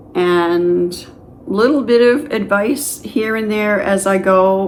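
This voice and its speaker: Her words come very slowly. The woman's voice carries audible room echo. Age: 60s. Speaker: retired YouTuber starting a channel. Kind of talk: casual vlog talk to camera. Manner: conversational with fillers.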